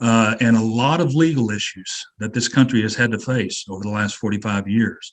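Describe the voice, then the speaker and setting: A man with a normal speaking voice talks at a medium pitch and a moderate pace. He uses ordinary pitch variation and hardly any pauses. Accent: American. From Kansas. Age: 60s. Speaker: webinar moderator. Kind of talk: panel discussion.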